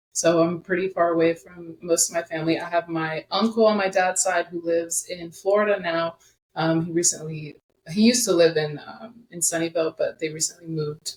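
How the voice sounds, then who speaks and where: A woman with an American accent speaks at a fairly quick pace in a fairly low pitch with fairly even intonation. Her loudness swings widely. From US West (California, also Denver and Dallas). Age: 20s. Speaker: social media creator, former athlete. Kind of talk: casual interview.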